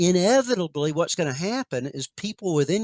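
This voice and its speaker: A man with an American accent speaks at a moderate pace in a high pitch, his intonation lively, the sound dry and close with no echo on a very clean recording with a silent background. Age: 60s. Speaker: author and researcher on near-death experiences. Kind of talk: interview conversation.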